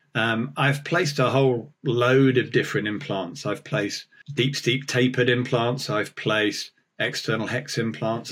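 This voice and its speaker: Pitched at a medium level, a man with a plain, everyday voice talks at a moderate pace with ordinary pitch variation. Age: 50s. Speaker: oral surgeon and dentist. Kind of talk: casual interview.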